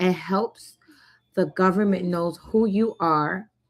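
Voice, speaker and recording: A woman with an American accent speaks in a normal speaking voice at a medium pitch and moderate pace, with ordinary pitch variation, on a very clean recording with a silent background. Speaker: notary public and online educator. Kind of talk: live-stream presentation. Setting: live stream.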